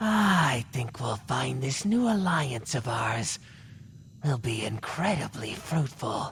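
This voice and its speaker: In a put-on character voice, a man speaks at a fairly slow pace with a menacing tone and a medium pitch that swings very widely. Clear background noise is present. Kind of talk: ASMR character roleplay. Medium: solo performance. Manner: cold and menacing.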